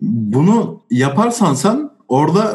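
A man is speaking. His pitch swings very widely. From Turkey, Osmaniye. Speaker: sociology graduate and drummer. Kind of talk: casual discussion.

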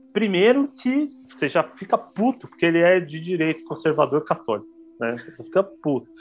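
His pitch high for a man, this speaker's voice makes very wide pitch swings. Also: moderate pace. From São Paulo, Brazil (Pirituba, north/west zone). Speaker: international relations graduate, podcast guest. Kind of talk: casual chat about books. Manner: halting, many repetitions.

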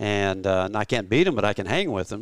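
A man talks at a fairly quick pace with a fairly low pitch on a very clean recording with a silent background and a dry, close sound with no echo. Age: 50s. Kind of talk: casual interview. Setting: rodeo grounds clubhouse.

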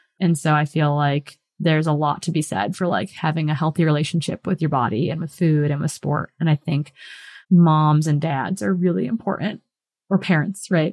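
A woman's very deep, low voice with an American accent, ordinary pitch variation and a moderate pace, in a dry, close sound with no echo. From Wisconsin, US Midwest. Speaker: professional trail runner and coach. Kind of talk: interview conversation.

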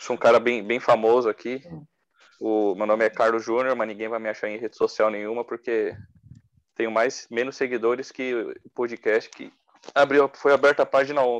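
A man of medium pitch talks with flat, monotone intonation. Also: moderate pace. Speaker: football podcast co-host. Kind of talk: casual chat.

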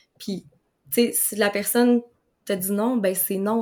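With a Quebec accent, a woman speaks at medium pitch and a moderate pace. Her intonation is monotone and flat. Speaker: nutritionist. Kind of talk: interview conversation. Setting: video call.

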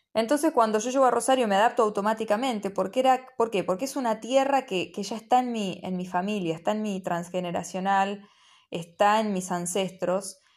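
This woman moves along at a fairly quick pace, her pitch shifting in an ordinary way. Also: medium pitch for a woman. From Argentina, Buenos Aires province. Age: 30s. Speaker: spiritual podcaster. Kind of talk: reflective monologue. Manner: halting, with many fillers.

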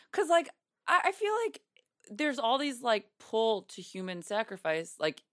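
Her pitch swings very widely. The woman's recording has a dry, close sound with no echo. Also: very clean recording, silent background. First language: Yiddish. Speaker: comedian. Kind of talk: casual chat.

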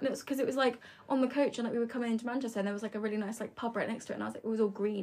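Against noticeable background noise, a woman talks very fast with fairly even intonation. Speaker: student. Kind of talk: casual chat.

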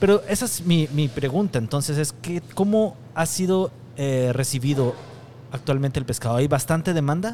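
Over noticeable background noise, a man's fairly high voice carries lively intonation. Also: moderate pace. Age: 40s. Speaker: podcast host, gastronomy communication expert. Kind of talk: interview. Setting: restaurant.

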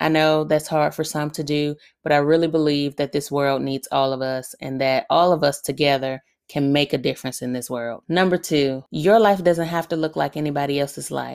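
The woman's pitch is very deep and low. She keeps a moderate pace with fairly even intonation. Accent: Southern US. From Alabama, US South. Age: 30s. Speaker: podcast host, military veteran. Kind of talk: solo Q&A podcast monologue. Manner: conversational, laughs often.

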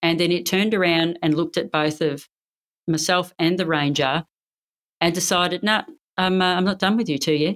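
With an Australian accent, a woman talks at a moderate pace and a fairly low pitch, her pitch varying in an ordinary way. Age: 50s. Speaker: Olympic badminton player and police officer. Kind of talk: interview. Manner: energetic.

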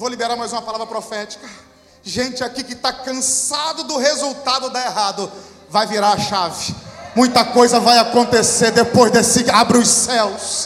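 A man with an extremely high pitch talks at a moderate pace with fairly even intonation, heard through audible room echo and noticeable background noise. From Brazil, countryside. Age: 30s. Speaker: pastor. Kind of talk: sermon.

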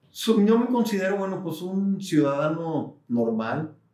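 A man with lively intonation talks at a very slow pace. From Mexico, Guadalajara. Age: 50s. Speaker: business executive and university board president. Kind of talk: interview.

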